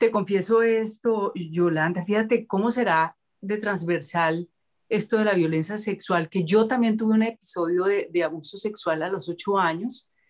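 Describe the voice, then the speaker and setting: Medium pitch, ordinary pitch variation and a moderate pace from a woman with an ordinary speaking voice. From Colombia, Cali. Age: 50s. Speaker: public figure, interviewer. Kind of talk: casual interview chat.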